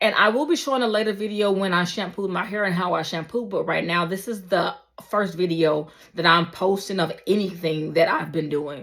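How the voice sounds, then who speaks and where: This woman has an ordinary speaking voice at a medium pitch. Her pitch variation is ordinary. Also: fairly quick pace. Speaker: beauty vlogger. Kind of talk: casual vlog talk. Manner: casual, filler-heavy.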